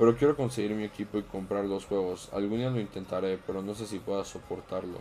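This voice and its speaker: Talking at a very fast pace, a man keeps a fairly even intonation at a fairly low pitch. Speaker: streamer. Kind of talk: casual chat.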